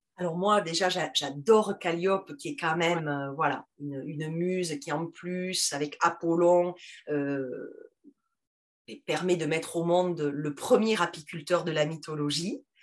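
A woman with a strong Toulouse accent speaks at a fairly low pitch. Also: ordinary pitch variation, fairly slow pace. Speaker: teacher and podcast founder. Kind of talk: interview. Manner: halting.

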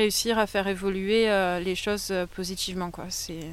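A woman at a fairly quick pace on a very clean recording with a silent background. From France, Pays d'Arles, Provence. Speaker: eco-site co-founder. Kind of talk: interview. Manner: halting.

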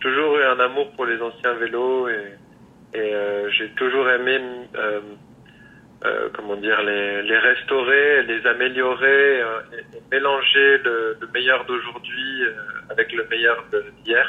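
A man talks at a very slow pace in a monotone, flat delivery, leaving long, frequent pauses. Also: medium pitch for a man. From rural France. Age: 30s. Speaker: bicycle frame builder. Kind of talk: interview. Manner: halting.

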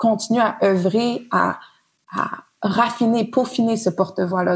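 The speaker's voice, somewhat breathy and with a Quebec accent, keeps a fairly even intonation. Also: woman. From Montreal, Quebec. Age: 30s. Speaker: designer and researcher. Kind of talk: casual interview. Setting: at guest's home.

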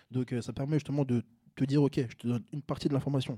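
A man talks at a very fast pace with a medium pitch and fairly even intonation. His tone is dark and mellow, and the sound is dry and close with no echo. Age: 20s. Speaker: content creator. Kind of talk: casual chat.

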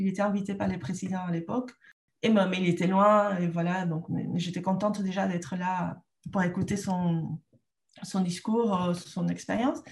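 A somewhat breathy woman with a Peruvian accent, medium pitch, moderate pace. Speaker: trainer and entrepreneur. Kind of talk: interview. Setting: rural home in northern France.

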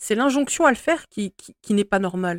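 A woman with a medium pitch swings very widely in pitch, heard in a very clean recording with a silent background and dry, close sound without echo. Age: 40s. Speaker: spiritual podcast host. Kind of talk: solo monologue podcast. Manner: hesitant, with fillers.

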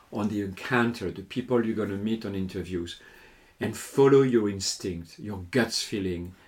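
A man speaks in a French accent. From southern France, Lourdes. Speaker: hotel sales and marketing executive and lecturer. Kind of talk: interview.

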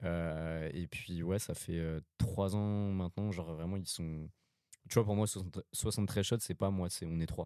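On a very clean recording with a silent background, a man speaks at a moderate pace in a very deep, low voice with a dark, mellow tone and fairly even intonation. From France, Paris suburbs (Val-d'Oise). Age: 20s. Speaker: photographer. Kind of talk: interview.

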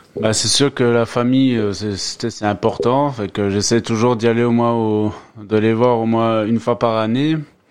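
A man with an unremarkable speaking voice talks at a fairly slow pace in a medium pitch with fairly even intonation. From France, Moselle. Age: 30s. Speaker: immigrant worker. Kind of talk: casual interview. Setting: home studio.

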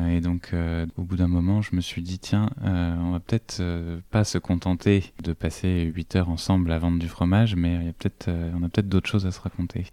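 Over a silent background on a very clean recording, a man with a very deep, low pitch and a dark, mellow tone talks at a moderate pace in a flat monotone. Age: 30s. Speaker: teacher. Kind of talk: interview testimony.

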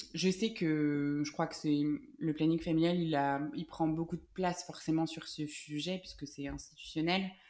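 A woman speaks at a very deep, low pitch in a dark, mellow tone. Her delivery is fairly slow and monotone, with flat intonation. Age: 20s. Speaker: law student and mother. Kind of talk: interview testimony. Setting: at the host's home. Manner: talkative.

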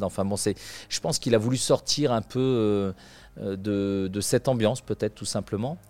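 A man's fairly low voice at a moderate pace, fairly even in intonation, dry and close with no echo, on a very clean recording with a silent background. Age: 50s. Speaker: equestrian performer. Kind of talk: interview. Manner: halting, with frequent fillers.

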